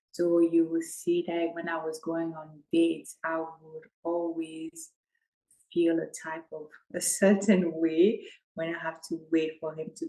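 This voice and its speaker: Dark, mellow tone with a West African accent, monotone and flat in intonation, at a fairly slow pace. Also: woman. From Ivory Coast, West Africa. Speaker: podcast host, healing coach. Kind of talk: personal storytelling monologue.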